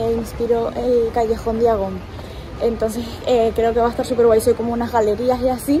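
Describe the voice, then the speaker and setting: Noticeable background noise sits behind this recording. A woman speaks over it at a fairly quick pace with a high pitch. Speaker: travel vlogger. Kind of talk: casual vlog chat. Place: street. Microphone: phone near.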